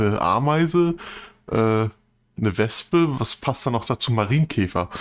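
A plain, everyday voice with lively intonation, delivered at a fairly slow pace. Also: man. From northern Germany. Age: 40s. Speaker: podcast co-host. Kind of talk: casual chat.

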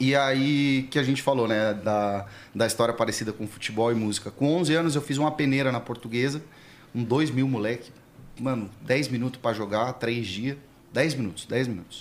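An unremarkable speaking voice from a man, moderate in pace, medium in pitch, with ordinary pitch variation. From São Paulo, Interlagos. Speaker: pagode musician. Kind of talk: casual chat.

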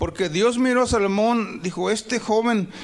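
A man speaks at high pitch against noticeable background noise. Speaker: pastor. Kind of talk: sermon. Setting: church. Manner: animated, exhortatory preaching with frequent call-and-response (amén, aleluya); fervent, rhythmic, repeating 'hermanos' often.

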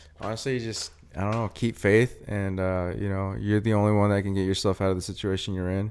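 A man with an American accent and a plain, everyday voice talks at a fairly quick pace with hardly any pauses, his fairly low pitch following a fairly even intonation. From US Pacific Northwest, small-town central Washington. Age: 20s. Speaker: clothing brand founder, podcast co-host. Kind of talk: casual chat.

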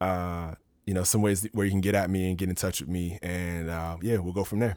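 On a very clean recording with a silent background, a man speaks with an American accent. His pitch is very deep and low, and his pace fairly quick. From US, Maryland (DC area). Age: 30s. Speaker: podcast host. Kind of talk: solo monologue podcast. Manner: casual, conversational.

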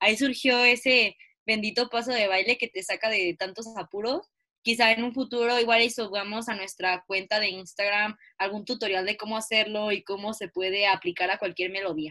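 Intonation stays fairly even in a bright, sharp tone. The pace is moderate, and the sound is dry and close with no echo. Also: woman, fairly high pitch for a woman. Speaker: student podcast co-host. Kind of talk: casual chat.

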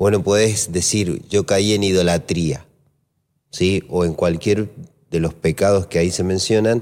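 At a fairly slow pace, a man speaks with a very deep, low pitch, fairly even intonation and very even loudness. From Argentina, Mendoza (Maipú). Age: 40s. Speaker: pastor. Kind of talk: casual chat about Bible teaching.

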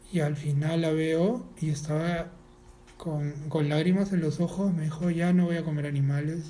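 A man speaks in a dark, mellow tone with monotone, flat intonation. Audible room echo surrounds his voice. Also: fairly high pitch for a man. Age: 40s. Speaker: animal rights activist. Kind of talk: casual interview. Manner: halting, repeats words.

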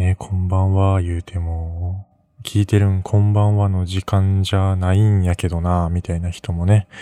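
A man's very deep, low voice with a dark, mellow tone, a slight western Japanese accent and fairly even intonation, in dry, close sound with no echo. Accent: slight western Japanese (Kansai-like). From Mie Prefecture, western Japan. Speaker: student podcaster. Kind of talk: solo late-night radio-style monologue. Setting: at home, late at night. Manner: rambling, hesitant with fillers.

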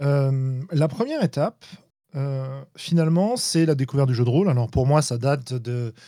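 A man speaks at a fairly high pitch, with a dark, mellow tone. His intonation is lively. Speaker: tabletop game designer and podcaster. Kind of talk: casual chat. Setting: live online stream.

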